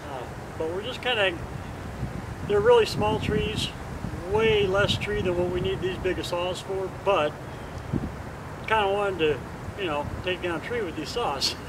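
A man talks at a fairly slow pace, leaving long, frequent pauses. His pitch varies in an ordinary way, and background noise is noticeable. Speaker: chainsaw channel host. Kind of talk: casual vlog chat. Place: garden. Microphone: camera far.

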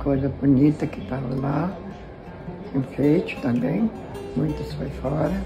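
A woman at a fairly slow pace with long, frequent pauses, over clear music in the background. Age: 80s+. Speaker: flood survivor. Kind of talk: interview answer. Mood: sad but hopeful, resigned. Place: home room. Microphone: phone near.

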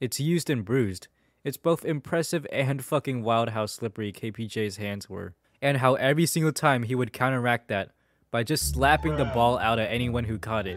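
In a dry, close sound with no echo, a man with a plain, everyday voice speaks at a moderate pace with lively intonation. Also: medium pitch for a man. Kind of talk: sports play-by-play commentary.

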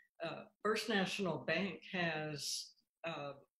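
The pace is very slow. Audible room echo hangs on the voice. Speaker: guest. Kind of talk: interview answer. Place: home room. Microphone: video call.

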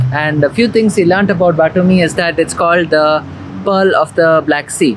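Over light background noise, a man speaks at a fairly quick pace. His pitch variation is ordinary. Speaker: travel vlogger. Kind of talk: casual vlog chat. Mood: cheerful, relaxed. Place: garden. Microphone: phone near.

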